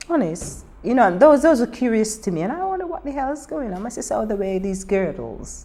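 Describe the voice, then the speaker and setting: A woman's fairly high voice with very wide pitch swings, fairly quick pace and hardly any pauses, over noticeable background noise. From Barbados. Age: old. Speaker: Windrush generation migrant interviewee. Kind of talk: oral history interview. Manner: animated.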